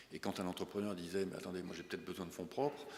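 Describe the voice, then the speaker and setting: A man talks in a very deep, low pitch. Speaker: bank chief executive. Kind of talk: business breakfast talk with Q&A. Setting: breakfast meeting with audience. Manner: fast; hesitant, many fillers.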